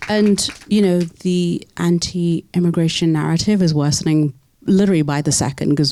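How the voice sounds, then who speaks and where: This woman's pitch is very deep and low, with fairly even intonation. She speaks in a British accent at a moderate pace. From UK. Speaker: moderator. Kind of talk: panel discussion.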